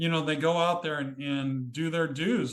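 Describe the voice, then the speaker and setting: In an ordinary speaking voice, this man talks at a moderate pace with fairly high pitch. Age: 60s. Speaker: author and cemetery photographer. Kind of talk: interview.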